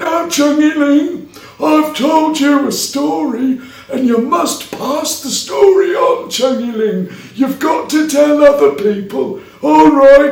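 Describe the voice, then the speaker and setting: Someone uses a put-on character voice at a fairly slow pace, with a slight echo around it. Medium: read story. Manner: gentle, repetitive.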